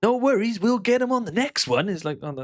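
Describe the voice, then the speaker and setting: In a Welsh accent, a man speaks in an animated tone. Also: dry, close sound with no echo. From Wales. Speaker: slots gambling streamer. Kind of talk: casual commentary while gambling. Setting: home recording with speakers. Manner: animated, swearing.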